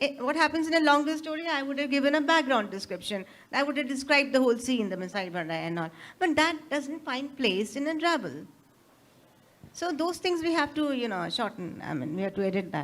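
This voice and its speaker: Speaking fairly quickly, a woman uses an Indian accent. Her high voice makes very wide pitch swings. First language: Hindi. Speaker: author. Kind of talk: interview. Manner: halting.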